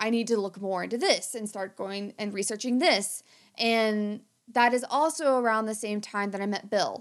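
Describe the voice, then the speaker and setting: A woman with an American accent uses a normal speaking voice, fairly high in pitch, at a moderate pace. The recording is very clean, with a silent background. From rural southern Ohio, US. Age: 30s. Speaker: podcast host and conservation biologist. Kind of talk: casual chat.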